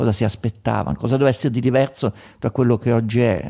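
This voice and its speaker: A man talks at a very fast pace. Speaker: radio host. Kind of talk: live radio phone-in discussion.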